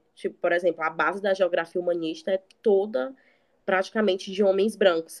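A woman with an unremarkable speaking voice talks at a fairly quick pace and medium pitch, with ordinary pitch variation. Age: 20s. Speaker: recent geography graduate. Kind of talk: casual chat.

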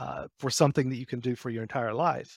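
A dry, close sound with no echo at a moderate pace, on a very clean recording with a silent background. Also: man. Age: 50s. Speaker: founder of a financial research company. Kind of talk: casual interview.

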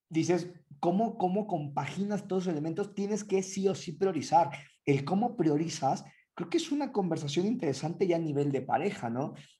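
A man with a Mexican accent speaks in a high pitch with a dark, mellow tone. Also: ordinary pitch variation, moderate pace. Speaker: podcast co-host. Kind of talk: casual chat.

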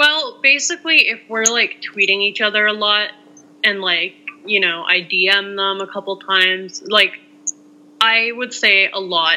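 At a fairly slow pace and medium pitch, a woman speaks with ordinary pitch variation over noticeable background noise. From Canada. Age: young (19). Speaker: sports fan on social media. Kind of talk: casual interview chat.

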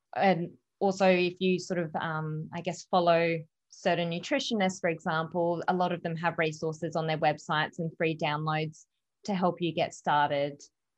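A woman's fairly low voice, monotone and flat in intonation, against a quiet background. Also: moderate pace. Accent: Australian. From Australia, Adelaide. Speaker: canine massage and holistic pet health practitioner. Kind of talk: interview.

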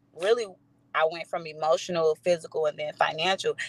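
Recorded close and dry with no echo, a woman speaks in an American accent. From East St. Louis, Illinois. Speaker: swim coach and business owner. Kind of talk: casual chat.

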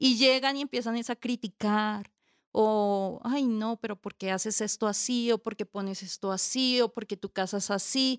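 A woman with a Bogotá accent speaks at a fairly slow pace with fairly even intonation, the sound dry and close with no echo in a very clean recording over a silent background. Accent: Bogotá Colombian Spanish. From Colombia, Bogotá. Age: 30s. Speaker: homemaker and social worker. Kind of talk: casual interview chat.

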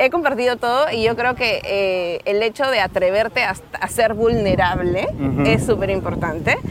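Someone with a Peruvian accent talks at a moderate pace with lively intonation and hardly any pauses. Background noise is noticeable. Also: woman, fairly high pitch for a woman. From Peru, Lima. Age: 30s. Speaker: digital marketer and former architect. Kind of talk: interview. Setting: outdoors on a beach.

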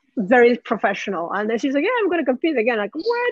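The speaker, with a Japanese accent, is heard in a dry, close sound with no echo. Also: woman. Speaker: champion barista and cafe owner. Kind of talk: interview.

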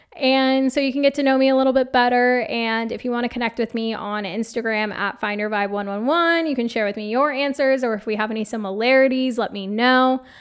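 A woman with an American accent speaks at a fairly quick pace, with hardly any pauses. Her pitch is high, and there is noticeable background noise. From Phoenix, Arizona, US. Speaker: podcast host and life coach. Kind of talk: solo podcast monologue. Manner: animated.

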